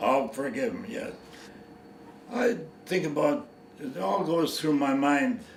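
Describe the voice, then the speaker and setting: Over noticeable background noise and audible room echo, a man with a fairly high pitch speaks at a fairly slow pace with very wide pitch swings. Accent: Canadian. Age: 80s+. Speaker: war veteran. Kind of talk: interview. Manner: halting.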